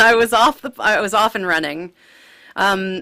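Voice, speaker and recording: A woman's voice carries a bright, sharp tone and lively intonation. The recording is very clean, with a silent background. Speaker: cantor. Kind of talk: interview.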